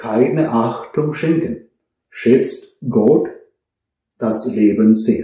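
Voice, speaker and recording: Speaking at a very slow pace, a man with a dark, mellow, somewhat breathy tone and ordinary pitch variation sounds out over a quiet background with audible room echo. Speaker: priest. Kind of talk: sermon, earnest and measured homily to a congregation. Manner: earnest; rhetorical, direct address with pauses. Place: home room.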